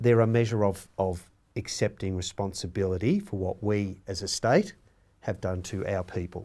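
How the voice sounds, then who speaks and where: With an Australian accent, a man speaks at a moderate pace and fairly low pitch, his tone dark and mellow and his intonation fairly even, on a very clean recording with a silent background. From Australia, rural Victoria (Victoria-NSW border). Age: 60s. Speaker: Stolen Generations survivor and advocate. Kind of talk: panel discussion.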